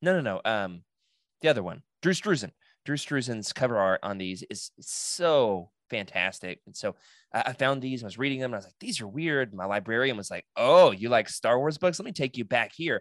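With an American accent and a plain, everyday voice, a man speaks at a moderate pace and medium pitch, his intonation lively and his loudness swinging widely, in a dry, close sound with no echo on a very clean recording with a silent background. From US South, Oklahoma. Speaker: podcast host, guest. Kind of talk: casual chat.

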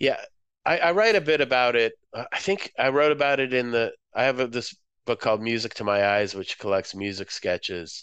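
A man with an American accent and a normal speaking voice talks at a fairly quick pace, medium in pitch and lively in intonation, against a quiet background. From Moscow, Russia; raised Boston area from age seven. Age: 50s. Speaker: visual artist and writer. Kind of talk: interview.

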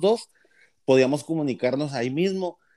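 With a dark, mellow tone and a fairly high pitch, a man speaks very fast using ordinary pitch variation, the sound dry and close with no echo. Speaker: podcast host. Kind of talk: casual chat.

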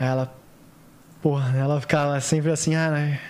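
A man's fairly high, monotone voice with flat intonation. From Santos, São Paulo state, Brazil. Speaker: actor, model and TV stage assistant. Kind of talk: casual chat. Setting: studio.

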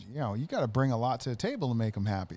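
Here the tone is dark and mellow. The intonation stays lively. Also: man. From US Midwest, Wisconsin. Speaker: salesman and mattress business owner. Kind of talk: casual chat.

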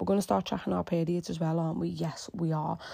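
A woman speaks very fast, somewhat breathy, with a dark, mellow tone. The recording is very clean, with a silent background. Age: 30s. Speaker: fitness coach. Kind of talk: casual monologue. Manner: animated.

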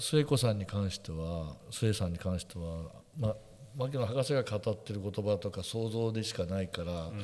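Lively intonation marks this man's fairly low, dark, mellow voice as he talks at a fairly quick pace. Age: 60s. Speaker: photographer and podcast co-host. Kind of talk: casual chat.

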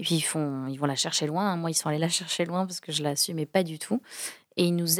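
A woman speaks in an unremarkable speaking voice, fairly low in pitch with fairly even intonation. The sound is dry and close, with no echo. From France, Toulouse. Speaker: comedian and corporate trainer. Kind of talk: podcast interview.

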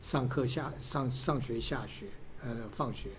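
With audible room echo around him, a man speaks at a medium pitch. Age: 60s. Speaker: father of a college freshman, securities industry worker. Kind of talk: interview. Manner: halting.

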